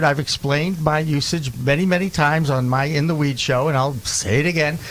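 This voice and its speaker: Noticeable background noise accompanies a man talking at a moderate pace in an American accent. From Boston. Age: 60s. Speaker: podcast host. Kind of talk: casual chat.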